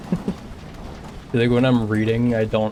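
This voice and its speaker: The man's voice sits at a fairly low pitch. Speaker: video game streamer. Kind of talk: casual live-stream chat while speedrunning. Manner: monotone.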